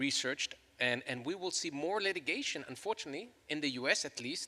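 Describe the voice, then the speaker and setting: A man with a slight Chilean accent. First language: Spanish. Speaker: law professor. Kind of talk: panel discussion.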